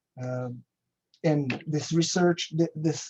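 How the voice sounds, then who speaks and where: A man's dark, mellow tone with a Brazilian Portuguese accent. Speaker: agricultural research station manager. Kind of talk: conference presentation. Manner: halting, with frequent fillers and restarts.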